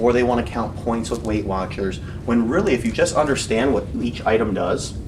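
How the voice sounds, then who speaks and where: Over noticeable background noise and audible room echo, a man talks fairly quickly with ordinary pitch variation. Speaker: fitness coach. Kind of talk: lecture. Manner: fast; animated.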